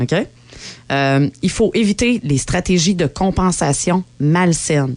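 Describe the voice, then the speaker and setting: In a Quebec accent, a woman talks at a fairly slow pace with lively intonation. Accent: Québécois French. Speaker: podcast co-host. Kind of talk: casual chat. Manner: animated.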